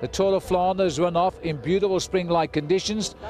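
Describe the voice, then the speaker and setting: Clear music plays behind a man speaking at a high pitch. The sound is dry, with no echo. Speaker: TV presenter. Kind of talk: commentary. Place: street. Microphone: handheld.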